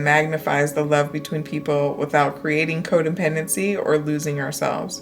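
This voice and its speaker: Music plays in the background while the talking proceeds at a moderate pace. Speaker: crystal healing content creator. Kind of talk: reading aloud with personal asides.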